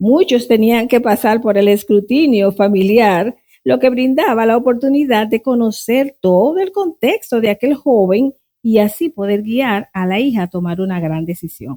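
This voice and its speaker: A woman with a fairly high voice and a dark, mellow tone speaks fairly slowly with lively intonation, the sound dry and close with no echo. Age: 60s. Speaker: Bible teacher. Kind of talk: interview. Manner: formal.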